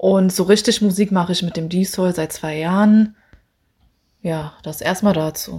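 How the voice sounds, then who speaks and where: A woman speaks at a fairly slow pace in a medium pitch, with a dark, mellow, somewhat breathy tone and fairly even intonation. Her long, frequent pauses sit in a very clean recording with a silent background. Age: 30s. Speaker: singer. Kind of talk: self-interview, casual.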